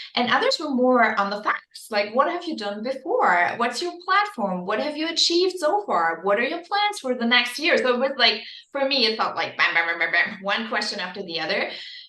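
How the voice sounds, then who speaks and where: A woman speaks at a fairly quick pace with hardly any pauses, her high pitch swinging very widely. Noticeable background noise and audible room echo fill the recording. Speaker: beauty pageant winner. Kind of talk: podcast interview. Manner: fast.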